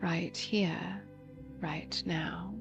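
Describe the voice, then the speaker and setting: Music plays in the background. A soft-spoken woman talks at a very slow pace. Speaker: voice actor; meditation guide. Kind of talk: guided meditation. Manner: very slow, soft-spoken.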